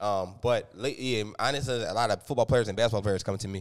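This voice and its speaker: A man with a Philadelphia accent speaks at a fairly low pitch with fairly even intonation. The recording is very clean, with a silent background. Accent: Philadelphia-area American. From US, Upper Darby, Pennsylvania. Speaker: strength training coach. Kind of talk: casual chat. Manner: fast.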